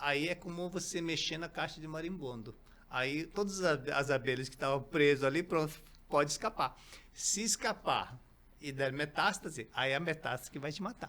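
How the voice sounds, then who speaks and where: Talking at a moderate pace, a man has a bright, sharp tone. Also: fairly high pitch for a man, ordinary pitch variation. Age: 60s. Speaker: company founder, natural health products. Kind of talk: interview podcast. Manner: halting, many fillers.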